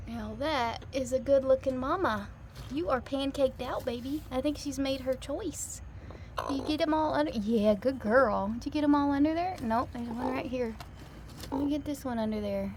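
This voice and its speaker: Noticeable background noise sits behind the speech. A woman talks at a high pitch with ordinary pitch variation. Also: moderate pace. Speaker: backyard chicken keeper vlogger. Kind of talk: casual vlog narration. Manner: low volume.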